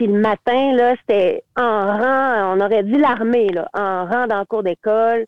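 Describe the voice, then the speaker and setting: A woman speaks at a very slow pace, her fairly high voice holding a fairly even intonation. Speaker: teacher and singer-songwriter. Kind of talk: casual interview.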